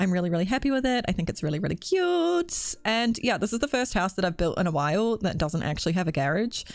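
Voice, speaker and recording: Very fast and with hardly any pauses, the speech comes in a New Zealand accent with very wide pitch swings and very even loudness, in a very clean recording with a silent background. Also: woman, medium pitch for a woman. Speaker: video game builder youtuber. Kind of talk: casual voiceover commentary. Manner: casual, filler-heavy.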